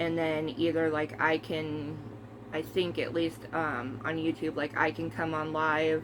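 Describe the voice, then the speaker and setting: A woman speaks in a very deep, low voice at a fairly slow pace. Her intonation stays fairly even, with noticeable background noise behind her. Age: 30s. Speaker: movie collector vlogger. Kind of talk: casual chat. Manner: casual, hesitant with many fillers.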